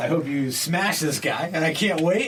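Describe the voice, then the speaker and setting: Audible room echo and noticeable background noise around speech at a moderate tempo. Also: man. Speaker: comedian podcast host. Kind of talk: casual chat. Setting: studio.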